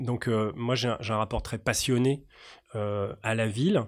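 A man's medium-pitched voice at a very slow pace with ordinary pitch variation, on a very clean recording with a silent background. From Paris region. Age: 40s. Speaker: urban policy academic. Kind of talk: interview. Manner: halting.

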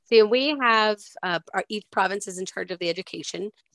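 A woman with a Maritime Canadian accent talks at a fairly quick pace with lively intonation. The recording is very clean, with a silent background and a dry, close sound with no echo. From Nova Scotia, Canada. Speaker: podcast co-host, school worker. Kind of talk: casual chat.

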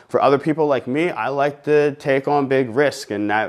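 A man talks at a fairly quick pace. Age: 30s. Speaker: fitness coach and gym owner. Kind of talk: casual solo podcast monologue. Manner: energetic, animated.

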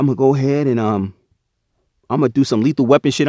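A very clean recording on a silent background, dry and close with no echo. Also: man. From Chester, Pennsylvania, US. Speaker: podcast host. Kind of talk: casual storytelling monologue.

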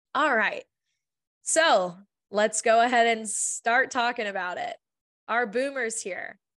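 A woman's fairly high voice at a fairly slow pace, with ordinary pitch variation and a dry, close sound with no echo. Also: quiet background. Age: 20s. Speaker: podcast host on early career recruiting. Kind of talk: solo podcast monologue.

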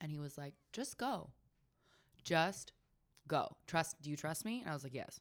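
A woman with an American accent speaks at a moderate pace, her pitch very deep and low. Her intonation is lively, broken by long, frequent pauses. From Northern California, Sonoma County. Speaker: popcorn business owner. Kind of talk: casual chat. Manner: animated.

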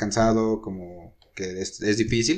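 A man talks in an ordinary speaking voice, with ordinary pitch variation. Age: 20s. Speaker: tourism management student. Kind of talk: casual interview.

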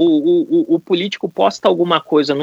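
Dry, close sound with no echo, a man keeping a moderate pace. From Brasília, Brazil. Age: 40s. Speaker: political risk consultant. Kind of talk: podcast discussion.

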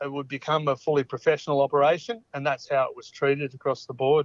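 Fairly even intonation marks a man talking in an Australian accent. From Australia, Orange, country New South Wales. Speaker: former rugby league player. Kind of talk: interview. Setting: phone call. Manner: halting, many fillers and repeats.

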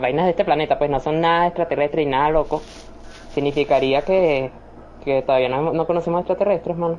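A fairly quick pace in a Venezuelan accent. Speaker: podcast host. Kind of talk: casual chat. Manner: animated.

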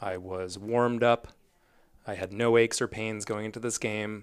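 A man speaks in a fairly low pitch with a monotone, flat intonation. The recording is very clean, with a silent background. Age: 30s. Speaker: physician assistant. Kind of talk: casual chat.

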